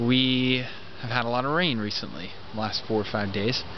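A man's voice with fairly even intonation, dry with no echo, amid noticeable background noise. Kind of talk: tutorial. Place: garden. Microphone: phone near.

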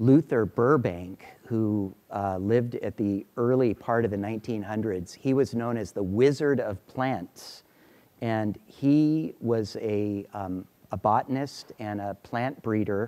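A man speaks at a very slow pace with a dark, mellow tone. His pitch varies in an ordinary way. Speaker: lecturer. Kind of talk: lecture. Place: classroom. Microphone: lapel.

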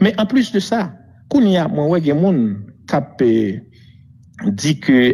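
Very slowly and with long, frequent pauses, a man speaks in a dark, mellow tone with very wide pitch swings and very even loudness. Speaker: former prime minister. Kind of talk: interview. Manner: halting.

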